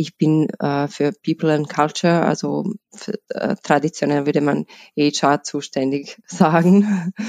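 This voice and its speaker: In a Bosnian accent, a woman talks at a very slow pace with a very deep, low pitch and ordinary pitch variation. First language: Bosnian (speaking German). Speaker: HR lead at a tax advisory firm. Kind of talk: interview. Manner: halting, many fillers.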